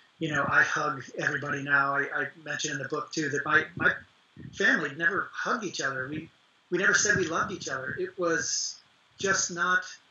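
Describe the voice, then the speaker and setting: A man with an American accent speaks at a high pitch and a fairly quick pace. Noticeable background noise is present. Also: ordinary pitch variation. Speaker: actor and author. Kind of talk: interview.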